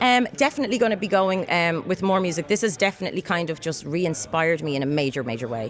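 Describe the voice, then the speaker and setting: Hardly pausing, a woman speaks at a very fast pace. Her fairly low voice makes very wide pitch swings. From Ireland. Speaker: singer-songwriter and actress. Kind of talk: interview answer. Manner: casual, chatty.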